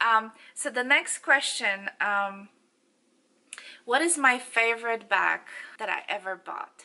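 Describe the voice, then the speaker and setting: With a Polish accent, a woman talks at a very slow pace, leaving long, frequent pauses, her fairly high pitch showing ordinary variation and her tone bright and sharp. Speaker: beauty and fashion vlogger. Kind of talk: casual Q&A vlog. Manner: halting, many fillers.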